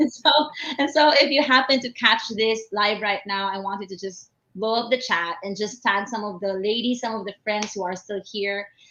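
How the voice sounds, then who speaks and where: A woman speaks with a fairly high pitch. Her tone is bright and sharp. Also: ordinary pitch variation, moderate pace. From Philippines, Manila. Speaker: business coach. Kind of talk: live webinar talk. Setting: live stream from home at 3 am. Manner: softened, quieter voice.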